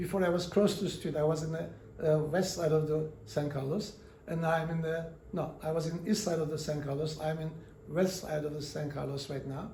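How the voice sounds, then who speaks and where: A man's fairly high voice with fairly even intonation and a non-native accent, at a fairly quick pace, amid audible room echo and noticeable background noise. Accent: foreign. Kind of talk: interview storytelling. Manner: halting, many fillers.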